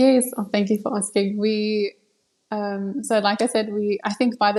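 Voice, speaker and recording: A woman with a South African accent and a medium pitch, at a moderate pace. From South Africa, Cape Town. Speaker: live wedding painter, artist. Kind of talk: interview.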